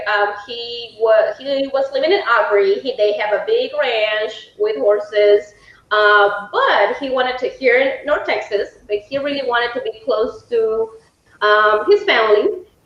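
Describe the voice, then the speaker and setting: A woman speaks with a Mexican accent in a high voice and lively intonation. Her pace is fairly slow, with noticeable background noise. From Mexico. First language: Spanish. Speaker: home sales consultant. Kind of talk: live webinar presentation.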